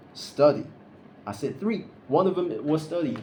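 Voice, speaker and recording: The voice is dark, mellow and somewhat breathy. It moves at a moderate pace with ordinary pitch variation. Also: man. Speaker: vlogger. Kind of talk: casual vlog monologue. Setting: recording alone to camera. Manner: halting, stuttering; unscripted, awkward pauses.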